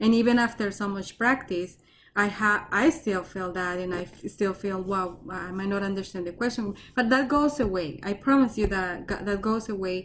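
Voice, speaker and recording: With a Colombian accent, a woman speaks at a moderate pace. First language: Spanish. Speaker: research scientist. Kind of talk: talk and Q&A. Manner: halting, repetitive.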